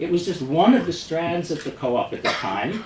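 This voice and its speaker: Over noticeable background noise, a man with a strong New York accent talks at a very fast pace with lively intonation. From US Northeast, New York City. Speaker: experimental filmmaker. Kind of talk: talk introducing a film screening. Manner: halting, with frequent restarts.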